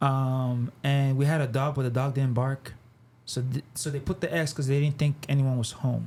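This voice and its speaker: A man speaks at a moderate pace in a monotone, with flat intonation. His voice is somewhat breathy. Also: medium pitch for a man. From Nigeria, moved to Canada then Texas as a child. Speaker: artist and designer. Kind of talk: podcast interview. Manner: casual, halting with many fillers.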